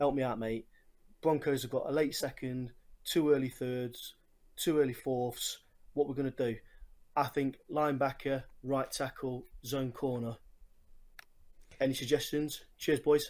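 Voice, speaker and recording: A man with a strong English accent, fairly high pitch and monotone, flat intonation, at a fairly slow pace with long, frequent pauses. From England, Nottingham (East Midlands). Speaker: listener sending voice message. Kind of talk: recorded voice message. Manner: casual, sweary.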